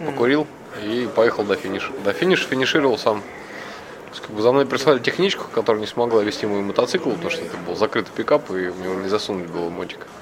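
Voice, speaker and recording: A man at medium pitch, very fast and with lively intonation, against noticeable background noise. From Moscow, Russia. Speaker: amateur motorcycle rally-raid racer. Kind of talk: interview.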